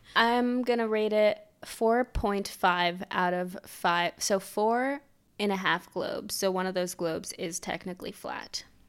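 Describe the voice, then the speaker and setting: A woman at a medium pitch and a fairly slow pace, in an ordinary speaking voice. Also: ordinary pitch variation. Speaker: podcast co-host. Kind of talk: casual chat.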